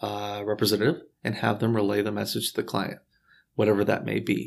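Captured in a very clean recording with a silent background, a man with an American accent speaks at a fairly low pitch with vocal fry. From Houston, Texas. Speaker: real estate broker. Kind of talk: interview.

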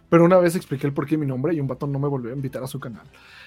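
Talking at a very fast pace, a man sounds somewhat breathy, with a fairly high pitch and ordinary pitch variation. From Mexico, State of Mexico (Ecatepec). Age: 20s. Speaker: YouTuber. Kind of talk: casual chat.

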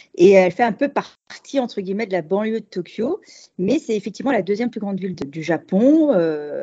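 A woman's ordinary speaking voice, fairly quick in pace, with lively intonation. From Paris, France. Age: 40s. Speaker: expat cooking workshop host. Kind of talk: interview conversation.

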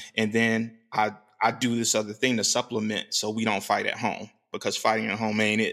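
A man's medium-pitched voice, bright and sharp in tone, with vocal fry and monotone, flat intonation, on a very clean recording with a silent background. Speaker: podcast co-host. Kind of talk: casual chat.

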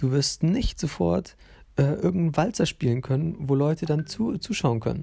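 On a very clean recording with a silent background, a man with a fairly high pitch and a dark, mellow tone speaks at a moderate pace, with lively intonation and very even loudness. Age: 20s. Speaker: podcast host. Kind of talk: casual monologue. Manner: hesitant, many fillers.

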